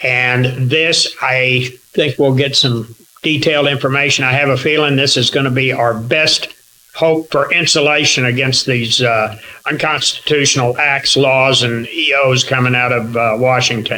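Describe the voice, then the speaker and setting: Noticeable background noise sits behind a man with an American accent. His pitch is medium and his loudness very even. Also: fairly even intonation, moderate pace. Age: 70s. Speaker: chapter leader of gun-rights group. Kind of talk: meeting speech and introduction.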